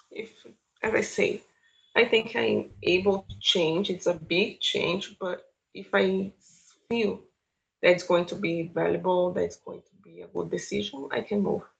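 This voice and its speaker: Fairly slow speech from a woman with a Brazilian Portuguese accent, big swings in loudness, and long, frequent pauses. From Brazil, São Paulo. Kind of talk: interview.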